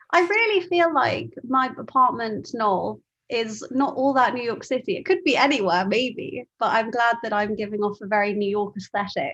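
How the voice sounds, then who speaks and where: A woman's fairly high voice in a London accent, with lively intonation and hardly any pauses. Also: moderate pace. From London, England. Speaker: meetup host. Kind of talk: casual chat. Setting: video call.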